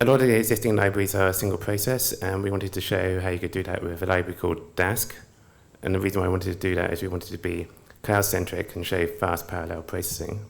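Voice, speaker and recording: A man's very deep, low voice with a British accent, very fast pace and fairly even intonation, in audible room echo. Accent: quite British. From United Kingdom. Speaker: software engineer presenter. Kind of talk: conference presentation.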